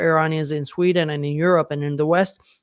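A man speaks in a Yemeni Arabic accent. His intonation is fairly even. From Yemen, Sana'a. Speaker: activist and social media commentator. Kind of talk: interview.

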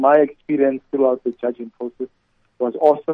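At a moderate pace, a man with fairly high pitch and fairly even intonation uses an unremarkable speaking voice. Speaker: corporate executive. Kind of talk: interview.

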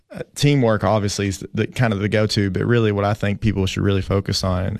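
Against a quiet background, a man with a Tennessee accent speaks very fast at a fairly low pitch with fairly even intonation. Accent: US Southern (Tennessee). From Tennessee (Fentress County). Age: 30s. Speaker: school athletic director. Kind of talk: casual interview. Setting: studio.

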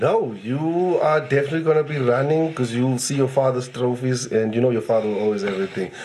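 Amid noticeable background noise, a man with a South African accent races along at a very fast pace with hardly any pauses, his medium pitch showing ordinary variation. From Eastern Cape, South Africa. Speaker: comedian.

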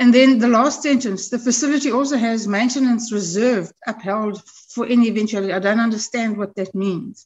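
A woman talks at a fairly quick pace with hardly any pauses, in a normal speaking voice. Her pitch is fairly high and her intonation fairly even. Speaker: committee member, MP. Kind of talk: formal parliamentary committee meeting.

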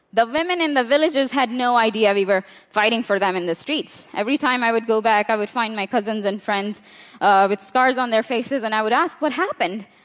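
With a Balochistan accent, a woman talks at a fairly quick pace in a fairly high pitch, using ordinary pitch variation. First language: Brahvi. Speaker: women's rights activist. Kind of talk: conference talk. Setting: stage with audience.

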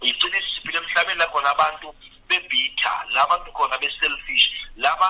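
Noticeable noise fills the background. A man talks over it very fast. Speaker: pastor. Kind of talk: radio panel discussion.

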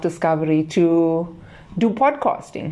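A woman's plain, everyday voice, fairly low in pitch, with ordinary pitch variation and a fairly slow pace. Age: 40s. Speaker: podcast host. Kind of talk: solo podcast monologue. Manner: casual, conversational.

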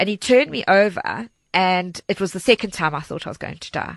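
This woman speaks with a South African accent. Her pitch is medium. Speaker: charity organizer and crime survivor. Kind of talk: personal testimony. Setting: studio.

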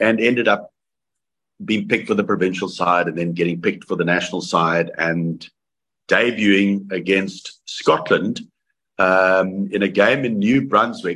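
In a South African accent, a man speaks at a fairly slow pace with lively intonation and a bright, sharp tone. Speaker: former rugby player. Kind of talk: interview. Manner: halting.

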